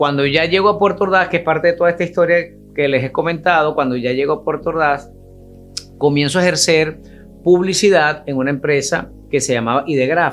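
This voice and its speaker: With a Venezuelan accent, a man talks at a fairly quick pace in a fairly high pitch with ordinary pitch variation while faint music plays in the background. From Venezuela, Barquisimeto. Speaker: radio announcer and host. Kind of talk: casual interview answer telling life story. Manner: animated, friendly. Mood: warm, nostalgic, smiling. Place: studio.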